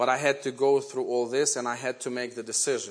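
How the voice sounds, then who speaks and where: The man has a Ukrainian accent. His pitch sits in the medium range. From Ukraine. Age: 40s. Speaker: guest preacher. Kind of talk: sermon. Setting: church. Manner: halting.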